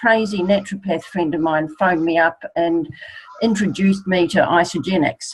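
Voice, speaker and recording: A woman has an unremarkable speaking voice. She keeps a moderate pace with ordinary pitch variation. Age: 60s. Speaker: network marketing distributor. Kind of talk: testimony.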